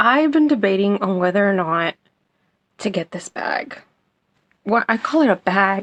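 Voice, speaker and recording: A woman is whispering. Her pace is moderate. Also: dry, close sound with no echo. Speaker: product reviewer. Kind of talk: product review.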